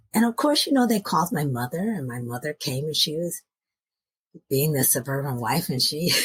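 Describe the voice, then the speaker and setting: With a very deep, low pitch and very wide pitch swings, a somewhat breathy woman speaks in a dry, close sound with no echo. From US, moved often (Nashville, Seattle suburbs, Alabama, Iowa). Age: 60s. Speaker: podcast guest. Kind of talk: interview storytelling.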